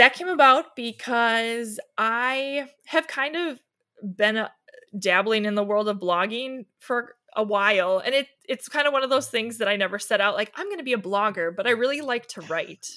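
Speaking with an Upper Midwest accent, a woman uses lively intonation, a bright, sharp tone and a fairly high pitch. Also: moderate pace. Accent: Upper Midwest American. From Wisconsin, Milwaukee area. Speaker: blogger and stay-at-home mom. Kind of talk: casual interview chat.

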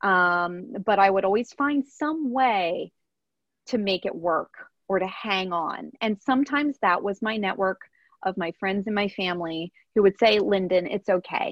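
With a plain, everyday voice and an American accent, a woman speaks fairly slowly at a medium pitch with ordinary pitch variation. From rural Pennsylvania, US. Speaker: professional mermaid. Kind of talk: interview.

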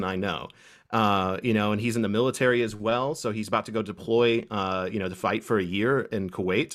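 A man with an American accent and a normal speaking voice, medium in pitch, at a fairly quick pace, on a very clean recording with a silent background. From Kentucky, US. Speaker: Norse paganism YouTuber. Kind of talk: casual interview chat.

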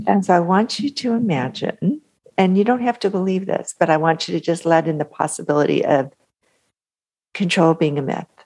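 A woman talks at a fairly quick pace in an ordinary speaking voice, her pitch fairly low and her intonation lively. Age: 50s. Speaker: author and mindset coach. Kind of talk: interview; guided visualization.

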